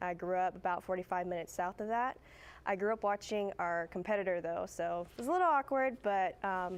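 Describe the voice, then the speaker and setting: A woman's normal speaking voice with an American accent, medium pitch and ordinary pitch variation, at a fairly quick pace against a quiet background. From Central Texas. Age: 20s. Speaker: TV news producer. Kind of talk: guest talk to students. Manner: casual, many fillers.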